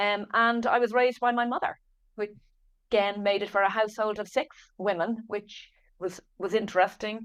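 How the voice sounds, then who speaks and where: On a very clean recording with a silent background, a woman with an Irish accent speaks at a moderate pace in a fairly high pitch with fairly even intonation. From Ireland, Dublin. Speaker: author and business founder. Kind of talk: podcast interview.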